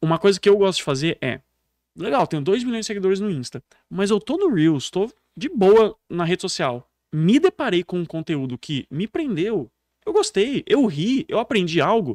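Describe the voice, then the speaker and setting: A man with a rural São Paulo accent speaks at a high pitch and a moderate pace, with very wide pitch swings. The sound is dry and close with no echo, in a very clean recording with a silent background. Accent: Brazilian countryside caipira. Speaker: public speaking coach. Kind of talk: podcast interview. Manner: animated.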